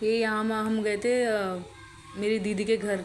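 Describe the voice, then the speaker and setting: A woman's medium-pitched voice in a flat monotone. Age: young. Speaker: vlogger. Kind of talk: vlog narration over travel footage. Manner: halting, faltering voice; casual, conversational.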